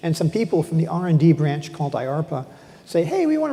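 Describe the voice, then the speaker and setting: Very fast speech amid noticeable background noise. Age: 60s. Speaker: professor. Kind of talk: on-stage interview. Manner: halting, many repetitions.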